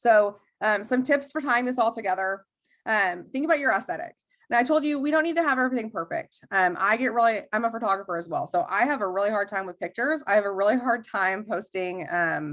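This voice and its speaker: At a very fast pace, a woman speaks with a fairly high pitch and lively intonation. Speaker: network marketing trainer. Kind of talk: training talk on a group call. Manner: casual, many fillers.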